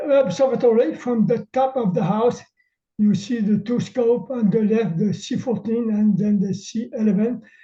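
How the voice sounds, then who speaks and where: Speaking at a fairly slow pace, a man with a Quebec accent has a high pitch, a dark, mellow tone and ordinary pitch variation. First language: French. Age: old. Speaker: amateur astronomer. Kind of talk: webinar presentation. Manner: halting.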